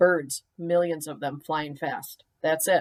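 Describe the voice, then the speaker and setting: A put-on character voice, gruff and growling, comes at a middle pitch and a fairly slow pace. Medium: read story. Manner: gruff, growling.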